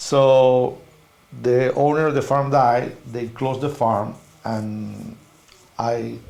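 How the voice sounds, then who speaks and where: Speaking very slowly with long, frequent pauses, a man with a Spanish accent keeps a fairly even intonation at a medium pitch, with audible room echo around him. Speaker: veterinarian. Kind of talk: interview. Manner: halting non-native phrasing.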